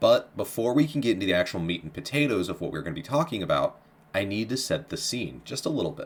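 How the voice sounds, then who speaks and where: A man with a medium-pitched voice talks at a very fast pace. His pitch swings very widely, with vocal fry. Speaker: history podcast host. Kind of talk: casual podcast intro. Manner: upbeat, informal.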